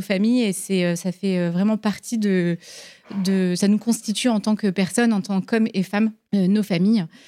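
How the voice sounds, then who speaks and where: Recorded very cleanly with a silent background, a woman talks at a moderate pace. Her medium-pitched voice has a dark, mellow tone and fairly even intonation. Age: 30s. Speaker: business founder. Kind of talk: live interview. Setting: stage with audience.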